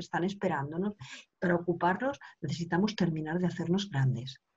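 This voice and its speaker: A woman's somewhat breathy, fairly low-pitched voice at a fairly quick pace with ordinary pitch variation. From Spain, Barcelona. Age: 50s. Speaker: women's coach. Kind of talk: interview.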